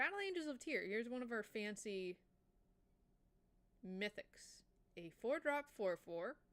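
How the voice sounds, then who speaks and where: A woman's fairly high voice with very wide pitch swings, an enthusiastic tone, a fairly slow pace and long, frequent pauses. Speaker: VTuber streamer. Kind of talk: casual live stream chat about card games. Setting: live stream. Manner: casual, enthusiastic.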